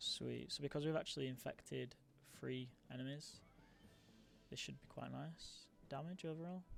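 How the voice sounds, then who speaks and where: Music sounds in the background. The talking proceeds at a moderate pace. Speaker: gamer. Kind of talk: gameplay commentary. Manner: casual.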